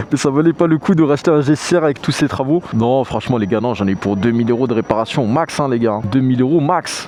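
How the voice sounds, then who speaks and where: Noticeable background noise is present throughout. Over it, a man speaks fairly quickly. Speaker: motorcycle vlogger. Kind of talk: casual Q&A vlog. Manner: loud; casual with many fillers.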